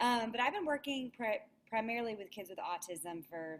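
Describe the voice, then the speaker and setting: A woman in a Southern US accent, at a moderate pace. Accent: Southern US twang. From US South, Alabama. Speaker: speech language pathologist. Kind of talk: webinar presentation.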